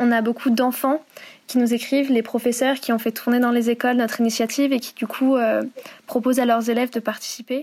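Speaking fairly quickly, a woman has a high pitch. Her intonation is monotone and flat. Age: 20s. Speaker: student volunteer, letter-writing project founder. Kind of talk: interview.

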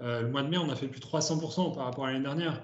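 A man speaks in a fairly high, somewhat breathy voice with fairly even intonation. Audible room echo can be heard. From France, Ardèche. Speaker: startup co-founder and CEO. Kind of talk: interview. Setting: video call.

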